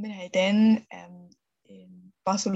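The woman's voice comes out somewhat breathy. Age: 30s. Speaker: mother sharing birth story. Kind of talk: interview testimony. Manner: halting with many fillers.

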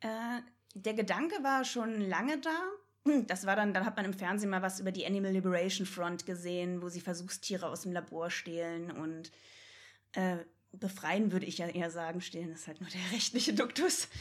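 A woman's ordinary speaking voice at a medium pitch, with ordinary pitch variation and a moderate pace. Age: 20s. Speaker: vegan animal rights activist. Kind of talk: casual chat.

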